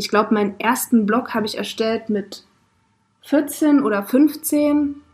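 A woman speaks very slowly in a fairly high pitch, with ordinary pitch variation. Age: 20s. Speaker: podcast co-host and social media manager. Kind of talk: casual chat. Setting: in a van.

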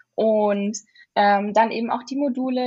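A woman speaks at a fairly high pitch with a somewhat breathy voice. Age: young. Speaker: university student. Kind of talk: casual interview.

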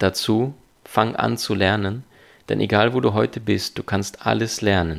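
A man with a non-native accent speaks at a fairly slow pace. His fairly low voice carries vocal fry. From abroad, came to Germany at twelve. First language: not German (speaking German). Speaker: seminar speaker and life coach. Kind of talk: interview. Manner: fluent with frequent fillers.

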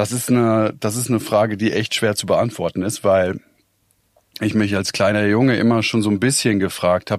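Recorded very cleanly against a silent background, with a dry, close sound and no echo, a man speaks at a moderate pace with fairly low pitch and fairly even intonation. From Weinheim, Baden-Württemberg, Germany. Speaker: audio journalist. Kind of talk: interview conversation. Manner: hesitant, many filler sounds.

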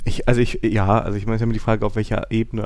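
Talking at a very fast pace, a man at medium pitch uses monotone, flat intonation with vocal fry. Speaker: software developer podcast host. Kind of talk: casual chat.

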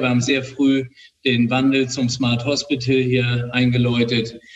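Here a man with a plain, everyday voice speaks at a moderate pace and medium pitch. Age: 60s. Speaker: hospital director and ENT doctor. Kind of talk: interview. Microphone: makeshift recording setup, slightly poor audio.

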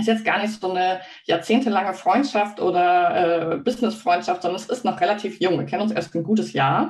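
This woman speaks at a fairly quick pace with a medium pitch and ordinary pitch variation. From Hamburg, northern Germany. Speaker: business coach and livestream co-host. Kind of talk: casual livestream chat. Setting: live video stream.

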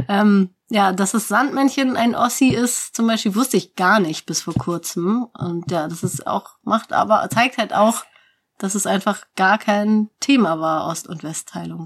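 Her medium pitch somewhat breathy, a woman speaks with lively intonation. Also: fairly slow pace. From Hamburg. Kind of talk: casual chat.

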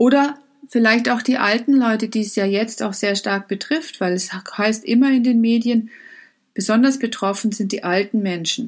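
This woman has a fairly high, somewhat breathy voice. She speaks at a moderate pace with ordinary pitch variation. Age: 50s. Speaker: life coach. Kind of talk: motivational talk.

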